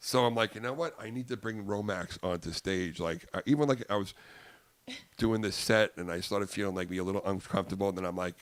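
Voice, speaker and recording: Talking at a very fast pace in a Long Island accent, a man uses a fairly low pitch, ordinary pitch variation, and an animated tone. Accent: Long Island New York. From US Northeast, Long Island, New York. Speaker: comedian. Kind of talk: casual chat. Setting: podcast studio with headsets.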